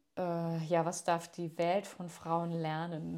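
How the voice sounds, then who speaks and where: A woman's fairly low voice at a very slow pace, on a very clean recording with a silent background. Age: 30s. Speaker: yoga teacher. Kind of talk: recorded voice message.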